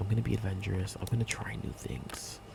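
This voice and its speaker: A man whispering in a relaxed tone over noticeable background noise. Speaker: ASMR content creator. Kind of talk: casual soft-spoken ramble to camera. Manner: soft-spoken, whispery, relaxed.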